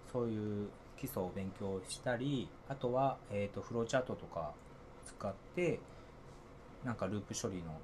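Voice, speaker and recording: Long, frequent pauses break up a man's speech. His voice is somewhat breathy and fairly low in pitch. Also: ordinary pitch variation, moderate pace. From Niigata, Japan. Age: 40s. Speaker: software engineer. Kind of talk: casual interview. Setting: same room, offline recording.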